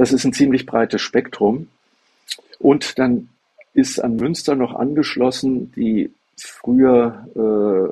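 A man speaks very slowly in a dark, mellow tone. His medium pitch shows ordinary variation. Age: 70s. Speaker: lawyer and blind self-help advocate. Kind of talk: interview.

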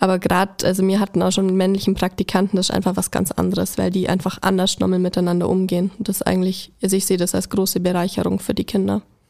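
Very fast and with hardly any pauses, a woman speaks at a medium pitch in a flat monotone. Her tone is dark and mellow, with vocal fry. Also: very even loudness. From Allgäu, Bavaria. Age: 20s. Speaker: kindergarten teacher. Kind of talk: casual interview.

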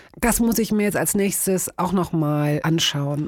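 A woman talks in an ordinary speaking voice at a moderate pace. Her pitch is fairly low for a woman, with ordinary pitch variation. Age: 50s. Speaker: radio host and podcaster. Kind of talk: casual chat.

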